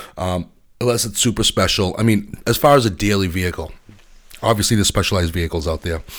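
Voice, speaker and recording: A man speaks very fast in a very deep, low voice with ordinary pitch variation, recorded very cleanly against a silent background. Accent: American. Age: 40s. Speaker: podcast host. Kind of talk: solo opinion monologue. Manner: halting, many fillers.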